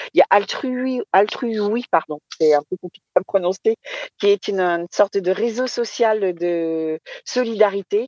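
A woman talks in a medium pitch with a dark, mellow tone and ordinary pitch variation. Her pace is fairly slow, and the sound is dry and close with no echo. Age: 50s. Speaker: association president. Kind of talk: live podcast interview. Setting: remote live broadcast.

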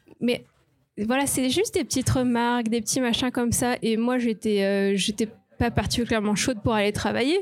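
A normal speaking voice keeps a very even loudness, moving at a moderate pace with ordinary pitch variation. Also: woman, fairly high pitch for a woman. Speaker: marketing professional, mother. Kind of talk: live podcast panel testimony. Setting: live recording before an audience.

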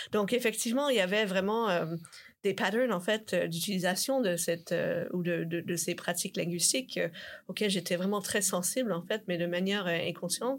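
A woman talks at a moderate pace in a medium pitch with ordinary pitch variation and very even loudness. The recording is very clean with a silent background. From Canada. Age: young. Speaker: linguistics researcher. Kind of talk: interview. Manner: halting, many repetitions.

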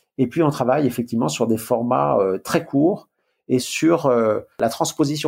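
Vocal fry runs through a man's medium-pitched voice. His pitch varies in an ordinary way, in a very clean recording with a silent background. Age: 60s. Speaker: management consultant and author. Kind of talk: interview.

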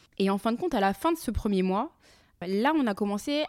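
On a very clean recording with a silent background, a woman with a plain, everyday voice speaks at a moderate pace and a fairly high pitch, with lively intonation. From France. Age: 30s. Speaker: podcaster and entrepreneur. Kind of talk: personal monologue podcast.

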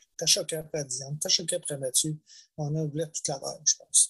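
A man with a Quebec accent speaks in a fairly high pitch. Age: 60s. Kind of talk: testimony. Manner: halting.

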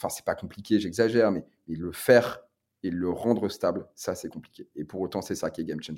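Talking at a fairly quick pace, a man shows ordinary pitch variation while his loudness swings widely. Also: fairly low pitch for a man. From northern France, Lille. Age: 30s. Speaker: brewery co-founder and CEO. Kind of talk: interview. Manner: halting, many repetitions and fillers.

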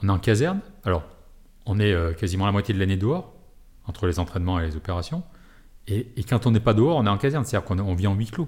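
Speaking very fast but with long, frequent pauses, a man uses a fairly low, somewhat breathy voice with lively intonation. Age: 40s. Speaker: military rescue and firefighting unit officer. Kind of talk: interview.

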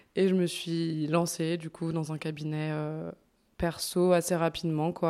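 In a very clean recording with a silent background, a woman's fairly low, dark, mellow voice stays monotone and flat. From France, Bourg-en-Bresse (Ain). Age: 20s. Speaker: osteopath. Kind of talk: casual interview. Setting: osteopathy practice.

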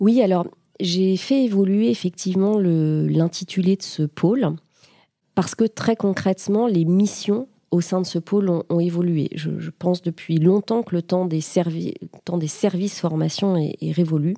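At a fairly slow pace, a woman speaks in a medium pitch with a dark, mellow tone and ordinary pitch variation. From Paris region, France. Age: 40s. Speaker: HR director. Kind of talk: interview.

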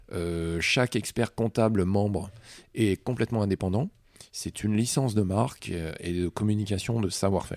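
A man talks at a moderate pace with a fairly low pitch. His intonation is fairly even, and the recording is very clean with a silent background. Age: 40s. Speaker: chartered accountant and entrepreneur. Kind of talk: interview. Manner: hesitant, many fillers.

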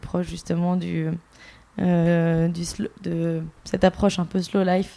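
With a dark, mellow tone, a woman speaks at medium pitch in a monotone, flat delivery. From Bordeaux, France. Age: 30s. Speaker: entrepreneur, brand co-founder. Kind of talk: podcast interview.

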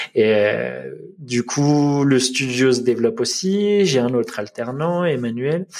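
This man speaks at a very slow pace and medium pitch, with lively intonation and very even loudness. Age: 30s. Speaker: web designer and father. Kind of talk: podcast interview. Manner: halting.

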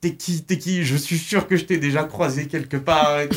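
A man with a normal speaking voice, fairly high pitch, fairly even intonation and a moderate pace. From Loire, France. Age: 20s. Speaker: social media meme creator. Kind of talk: radio interview.

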